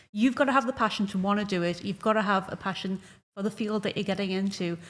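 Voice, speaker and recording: A somewhat breathy woman with a Geordie accent, talking at a very fast pace. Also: medium pitch for a woman. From northeast England. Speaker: esports broadcaster. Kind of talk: panel discussion. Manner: animated.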